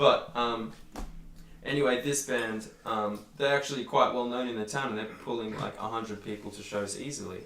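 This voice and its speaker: A man talks at a medium pitch. Audible room echo is present. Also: moderate pace. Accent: Australian. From Australia. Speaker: metal band musician. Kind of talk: casual chat. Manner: animated.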